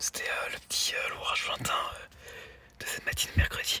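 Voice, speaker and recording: Against noticeable background noise, a man whispers at a moderate pace. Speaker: storm chaser. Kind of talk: casual vlog commentary. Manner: soft-spoken.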